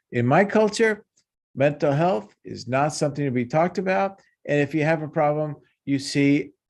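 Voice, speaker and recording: A man speaks in a fairly high voice with lively intonation. The background is quiet. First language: Spanish. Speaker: cultural neuropsychologist. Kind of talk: panel discussion.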